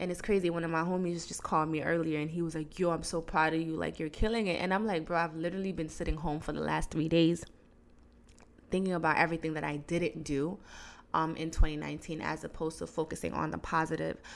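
At a very fast pace, a woman speaks in a fairly low pitch with monotone, flat intonation. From Guinea. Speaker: podcast host. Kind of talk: solo monologue podcast. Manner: casual, laughing.

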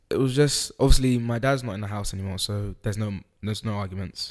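In a London accent, a man speaks with a fairly low pitch and fairly even intonation on a very clean recording with a silent background. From East London, England (moved from Holland at four). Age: young. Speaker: podcast guest sharing life story. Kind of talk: casual interview. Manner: halting, hesitant.

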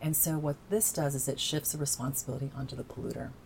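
Somewhat breathy and very deep and low in pitch, this woman talks at a fairly quick pace with ordinary pitch variation. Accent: American. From southern Indiana (Evansville). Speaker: climate initiative campaigner. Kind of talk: interview.

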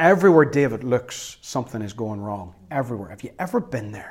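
A man speaks at a medium pitch with lively intonation. His is an unremarkable speaking voice. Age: 40s. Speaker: pastor. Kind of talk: sermon.

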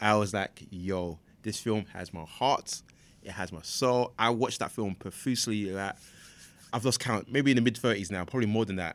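A man speaks at a moderate pace in a fairly low voice with ordinary pitch variation. The recording is very clean, with a silent background. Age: 30s. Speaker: comic book expert. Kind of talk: casual chat.

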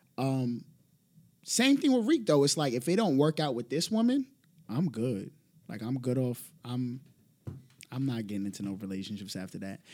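A man with a New York accent talks at a moderate pace and medium pitch. His intonation is lively, with long, frequent pauses. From the Bronx, New York. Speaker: podcast guest. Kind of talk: casual chat.

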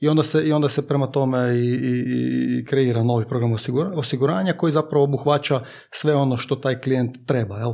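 A man's dark, mellow voice at medium pitch, fairly quick, with hardly any pauses and very even loudness. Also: ordinary pitch variation. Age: 20s. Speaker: insurance broker. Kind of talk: casual chat. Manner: halting.

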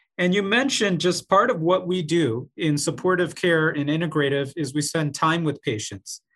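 With hardly any pauses, a man speaks in an unremarkable speaking voice, fairly high in pitch with lively intonation, against a quiet background. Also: moderate pace. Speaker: co-host, oncologist. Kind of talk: interview conversation.

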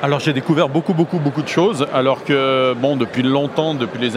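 Against noticeable background noise, the moderately paced speech shows ordinary pitch variation. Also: man. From northern Rhône valley, near Lyon, France. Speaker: wine author. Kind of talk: interview. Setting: studio.

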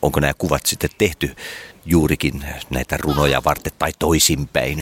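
Over noticeable background noise, a man with a very deep, low pitch speaks in a dry, close sound with no echo. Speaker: interviewer. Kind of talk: casual interview.

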